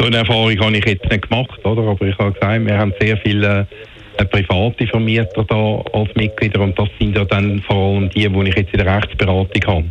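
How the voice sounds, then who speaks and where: A man with a fairly low pitch at a fairly quick pace, with monotone, flat intonation, very even loudness, and noticeable background noise. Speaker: lawyer for homeowners association. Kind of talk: radio interview. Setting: phone call.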